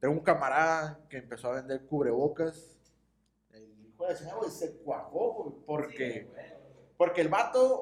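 A man's fairly high voice at a fairly slow pace, with lively intonation and big swings in loudness. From Mexicali, Baja California, Mexico. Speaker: podcast co-host. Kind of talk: casual chat.

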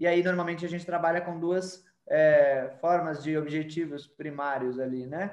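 An unremarkable speaking voice at a moderate pace, fairly even in intonation, with hardly any pauses. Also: man, fairly high pitch for a man. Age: 30s. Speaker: digital marketing agency owner. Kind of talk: podcast interview.

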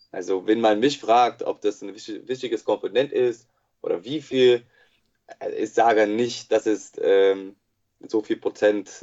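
The voice has an English accent. The pace is fairly slow. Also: man. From USA. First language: English (speaking German). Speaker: sports psychologist. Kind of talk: interview. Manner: halting, many filler sounds.

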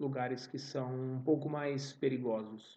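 Speaking at a fairly slow pace in a São Paulo accent, a man has a fairly high-pitched voice with a dark, mellow tone. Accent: Paulistano Brazilian Portuguese. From São Paulo city, Brazil. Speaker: Portuguese teacher podcaster. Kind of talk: language-learning monologue. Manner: slow, repetitive for learners.

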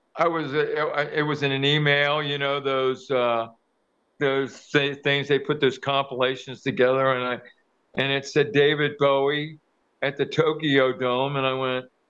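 In an American accent, a man with a fairly high pitch talks at a fairly slow pace, his intonation monotone and flat. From Kentucky, US. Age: 70s. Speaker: professional drummer. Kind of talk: interview answers in a group video call.

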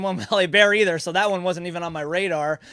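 A man with an American accent talks at a very fast pace in a raised, projected voice. His pitch is high, with ordinary variation. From New Jersey. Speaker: trivia competitor. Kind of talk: casual chat. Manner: halting.

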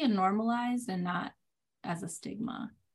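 Someone with a Puerto Rican accent speaks at a moderate pace with fairly even intonation, on a very clean recording with a silent background. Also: woman. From Puerto Rico. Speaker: children's author, former teacher. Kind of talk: interview.

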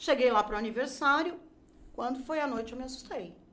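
Audible room echo hangs on the words of a woman. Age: 50s. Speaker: graphic designer and crafts teacher. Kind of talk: casual interview chat.

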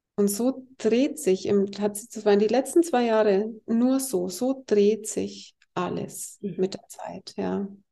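Speaking very slowly with hardly any pauses, a woman has a fairly high pitch, a dark, mellow tone, and ordinary pitch variation. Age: 50s. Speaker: healer. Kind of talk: interview.

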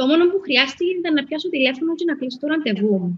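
A woman speaks in a Cypriot accent. Her pitch swings very widely. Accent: Cypriot Greek. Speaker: spa owner. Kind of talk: interview. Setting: live stream.

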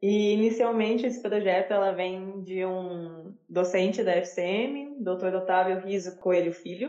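Using an unremarkable speaking voice, a woman talks with fairly even intonation and hardly any pauses. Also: medium pitch for a woman, fairly slow pace. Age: 20s. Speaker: university student researcher. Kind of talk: interview.

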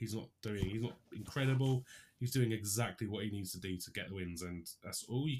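This man has a British accent and a fairly low pitch. He talks at a moderate pace with ordinary pitch variation. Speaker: sports podcast co-host. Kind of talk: casual banter.

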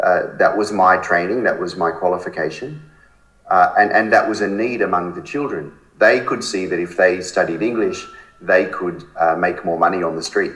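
There is noticeable background noise and audible room echo as a man speaks with an Australian accent. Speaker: charity founder. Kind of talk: interview.

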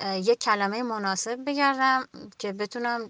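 A woman's fairly high, bright and sharp voice, dry and close with no echo, with fairly even intonation over a quiet background. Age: 30s. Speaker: general practitioner, covid survivor. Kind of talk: recorded voice message testimony.

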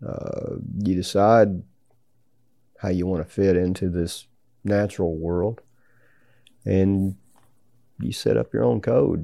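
A man speaks with a Southern US accent. His tone is dark and mellow. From US South, Tennessee. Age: 60s. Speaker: business founder and hunter. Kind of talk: interview. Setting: hunting ranch in Mexico. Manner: halting.

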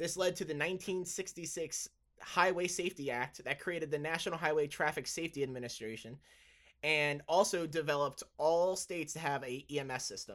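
Recorded very cleanly against a silent background, a man talks at a fairly quick pace in a fairly high pitch, with ordinary pitch variation. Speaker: podcast host and pre-hospital provider. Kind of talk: podcast monologue about trauma medicine history. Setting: solo recording, evening. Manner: loud; casual, laughs often, self-deprecating.

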